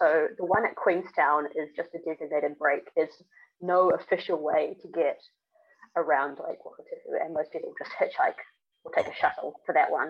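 A woman speaks at a moderate pace with a New Zealand accent. Her loudness swings widely. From New Zealand, Auckland. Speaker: long-distance hiker and gear maker. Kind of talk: casual interview. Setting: remote call.

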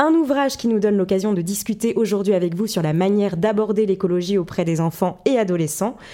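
A woman with an unremarkable speaking voice talks at a fairly quick pace with hardly any pauses, her medium pitch showing ordinary variation and her loudness very even. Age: 20s. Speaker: podcast host, journalist. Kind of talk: interview.

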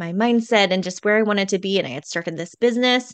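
A woman with a normal speaking voice speaks at a medium pitch with fairly even intonation over a quiet background. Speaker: podcast coach. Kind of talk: casual interview chat.

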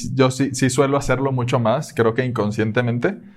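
This man has an unremarkable speaking voice, set at a medium pitch with fairly even intonation. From Venezuela, Caracas. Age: 20s. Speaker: engineer. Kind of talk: casual chat.

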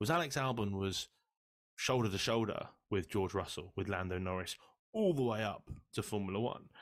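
On a very clean recording with a silent background, a man speaks in an unremarkable speaking voice. He has a fairly low pitch, ordinary pitch variation and a moderate pace. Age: 30s. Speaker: F1 podcast co-host. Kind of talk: casual chat.

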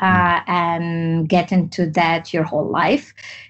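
A woman speaks with a Tunisian accent at a very slow pace. Her intonation stays fairly even. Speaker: entrepreneur and activist. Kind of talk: interview.

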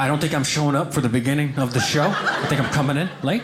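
Over noticeable background noise and audible room echo, a man with an American accent speaks very fast in a fairly high pitch. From small-town Oklahoma. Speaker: stand-up comedian. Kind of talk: stand-up.

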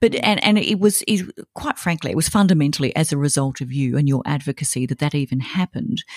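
With an Australian accent, a woman speaks at a very fast pace. Her very deep, low voice carries lively intonation. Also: dry, close sound with no echo. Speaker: podcast host. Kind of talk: scripted intro; interview.

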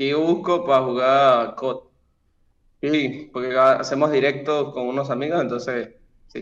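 A man with a normal speaking voice talks at a fairly slow pace, his intonation fairly even. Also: fairly high pitch for a man. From Venezuela. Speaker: stranger from a video chat site. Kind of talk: casual chat. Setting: video call.

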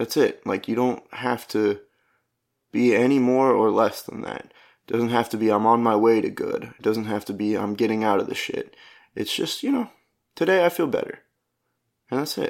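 A man talks at a moderate pace with long, frequent pauses. The recording is very clean, with a silent background. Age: 20s. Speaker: podcast host and stand-up comedian. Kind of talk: casual solo monologue. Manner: rambling, halting.

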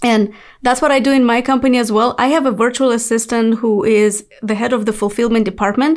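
A fairly high-pitched woman's voice with a non-native accent, at a fairly quick pace, on a very clean recording with a silent background. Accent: foreign-accented English. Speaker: podcast host. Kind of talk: interview. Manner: enthusiastic.

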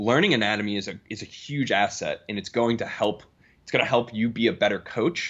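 A man's unremarkable speaking voice with an American accent, medium pitch, ordinary pitch variation, big swings in loudness and a fairly quick pace. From US Northeast, Boston area. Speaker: strength and performance coach. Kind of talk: podcast interview.

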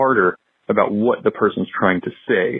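A man speaks with an unremarkable speaking voice at a medium pitch. His pace is fairly quick. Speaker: listener caller. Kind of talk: voicemail message. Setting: phone call.

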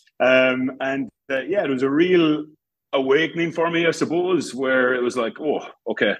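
Speaking with an Irish accent, a man uses ordinary pitch variation. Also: moderate pace. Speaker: rugby attack coach. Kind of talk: interview. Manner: halting.

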